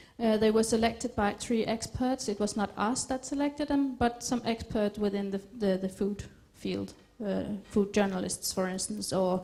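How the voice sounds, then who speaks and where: Moderate pace and ordinary pitch movement in an unremarkable speaking voice. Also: woman, fairly high pitch for a woman. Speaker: food scientist. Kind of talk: lecture.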